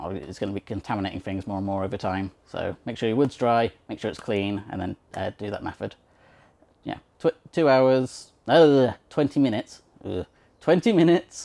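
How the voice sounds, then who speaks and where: A man with a dark, mellow tone and medium pitch speaks at a moderate pace with lively intonation, in a dry, close sound with no echo. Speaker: blind woodworker, channel host. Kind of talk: casual tutorial. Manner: hesitant, many fillers.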